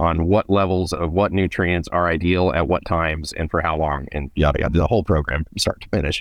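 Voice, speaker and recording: This man's voice is very deep and low, with fairly even intonation. He barely pauses, and the background is quiet. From California Central Valley. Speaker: agriculture expert, company co-founder. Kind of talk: interview, technical casual chat.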